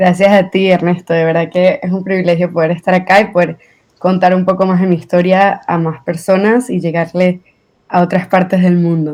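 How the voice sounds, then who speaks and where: Monotone, flat intonation from a woman with a medium-pitched voice. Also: moderate pace. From Venezuela. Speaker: guest, accident survivor. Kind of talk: interview podcast.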